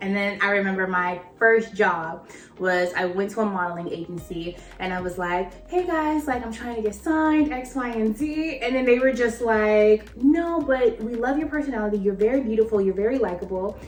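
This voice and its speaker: Over music in the background and audible room echo, a woman speaks at a moderate pace with hardly any pauses, using a fairly high pitch, lively intonation and an animated tone. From Los Angeles, California (Inglewood). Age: 20s. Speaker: actor and entrepreneur. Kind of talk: casual interview chat.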